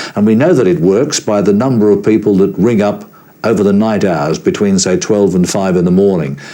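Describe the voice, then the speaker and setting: A man's very deep, low voice with a dark, mellow tone and fairly even intonation. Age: 60s. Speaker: veteran broadcaster. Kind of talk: interview.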